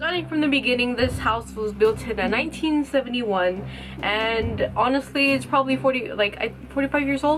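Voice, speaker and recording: A woman mumbles at a moderate pace in a high pitch with ordinary pitch variation while music plays in the background. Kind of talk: casual story time talk to camera. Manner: mumbling; casual, informal.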